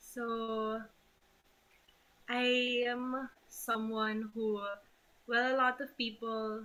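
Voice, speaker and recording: A soft-spoken woman with a fairly high pitch. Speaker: family member giving a eulogy. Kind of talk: eulogy. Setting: video call.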